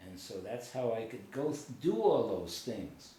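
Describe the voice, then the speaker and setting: Speaking at a fairly slow pace, a man with a medium pitch makes very wide pitch swings, with audible room echo and noticeable background noise in the recording. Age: 70s. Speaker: war veteran. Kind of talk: casual chat. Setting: on a couch at home.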